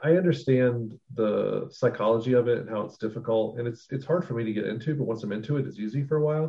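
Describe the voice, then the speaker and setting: With hardly any pauses, a man talks at a very fast pace in a medium pitch, his voice somewhat breathy and his pitch variation ordinary. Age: 40s. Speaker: podcast co-host. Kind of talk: casual chat.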